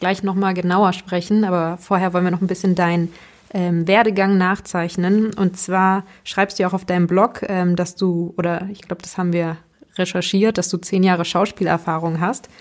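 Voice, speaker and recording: A woman speaks at a medium pitch and a moderate pace in a monotone, flat intonation. The recording is very clean, with a silent background. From Hannover, Germany. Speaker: podcast host. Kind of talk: interview.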